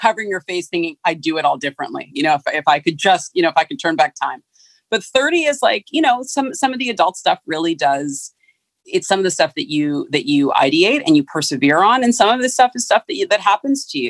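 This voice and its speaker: A woman with an American accent talks at a very fast pace and a medium pitch, her voice making very wide pitch swings. The sound is dry and close, with no echo. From San Francisco, California. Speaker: fashion branding consultant. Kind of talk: interview conversation. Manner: halting, many restarts and fillers.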